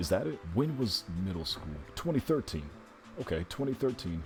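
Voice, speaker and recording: Music plays behind a man. He talks at a moderate pace. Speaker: longtime stage performer with trained voice. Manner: casual, rambling.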